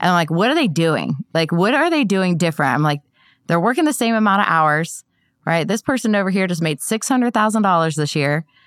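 On a very clean recording with a silent background, a woman with an American accent uses an ordinary speaking voice at medium pitch, talking at a fairly quick pace with lively intonation. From Ohio. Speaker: insurance agency owner. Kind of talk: interview. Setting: studio.

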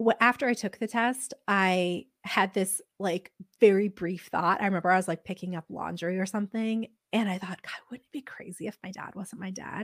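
A woman's unremarkable speaking voice at medium pitch, fairly even intonation, a moderate pace and big loudness swings, recorded dry and close with no echo in a very clean, silent setting. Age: 30s. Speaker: podcast host, guest sharing DNA discovery story. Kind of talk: casual interview chat.

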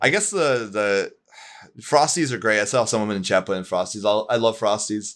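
A man talks in a plain, everyday voice at a fairly low pitch. He moves at a fairly quick pace with ordinary pitch variation. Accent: American. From US Northeast (Pittsburgh, Pennsylvania). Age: 20s. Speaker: gaming writer and streamer. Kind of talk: casual chat. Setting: live stream.

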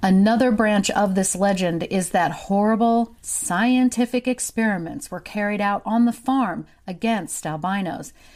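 A woman speaks with an American accent at medium pitch and ordinary pitch variation. Her pace is fairly slow, with hardly any pauses. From US Ozarks, southwest Missouri. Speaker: true crime podcaster. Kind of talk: scripted narration.

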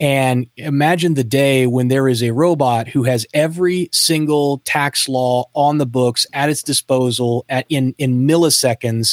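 Dry and close with no echo, a man's fairly high pitch carries fairly even intonation. It is an ordinary speaking voice. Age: 40s. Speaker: entrepreneur and podcast host. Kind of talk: interview.

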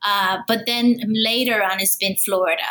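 A woman talks with fairly even intonation. There is noticeable background noise. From Puerto Rico. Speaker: academic author. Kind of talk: interview. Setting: remote call.

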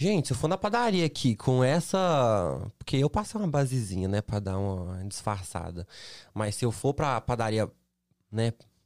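A man's voice with very wide pitch swings and long, frequent pauses, dry and close with no echo, on a very clean recording with a silent background. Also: medium pitch for a man, moderate pace. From Brazil, Minas Gerais (Belo Horizonte). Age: 20s. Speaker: model and influencer. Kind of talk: casual chat. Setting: studio.

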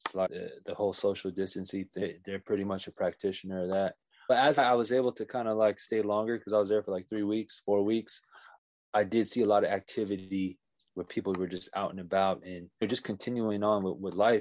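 In a quiet background with a dry, close sound and no echo, a man with an American accent talks at a fairly quick pace in a fairly low pitch. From California (Bay Area and Oxnard). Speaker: podcast guest, friend of host. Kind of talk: casual chat.

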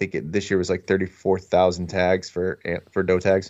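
A man with an American accent talks at a very deep, low pitch over a quiet background. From northeastern Pennsylvania. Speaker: hunting podcaster. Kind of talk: casual chat. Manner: halting.

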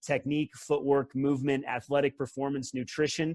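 A man with a plain, everyday voice and a fairly high pitch. He keeps to a moderate pace. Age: 40s. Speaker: former pro tennis player and coach. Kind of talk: casual chat.

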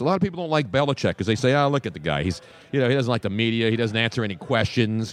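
A man with an American accent talking at a very fast pace against a quiet background. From South Philadelphia. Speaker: sports radio host. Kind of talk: casual chat. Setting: live broadcast from a public venue.

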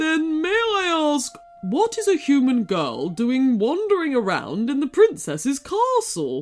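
Faint music plays behind a woman doing a put-on character voice, high-pitched and slightly mellow, with very wide pitch swings. She speaks at a slow pace.

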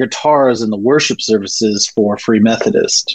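At medium pitch, a man uses a normal speaking voice with fairly even intonation. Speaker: poet and comedian. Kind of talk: casual interview conversation.

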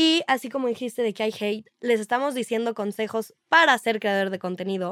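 An ordinary speaking voice from a fairly high-pitched woman, fairly quick, with ordinary pitch variation, dry and close with no echo, in a very clean recording with a silent background. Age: young. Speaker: social media influencer. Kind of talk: casual chat.

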